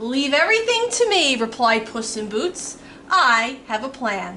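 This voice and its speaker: A woman uses a put-on character voice with a high pitch and a moderate pace. Background noise is clearly audible. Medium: read story. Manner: bold, courtly.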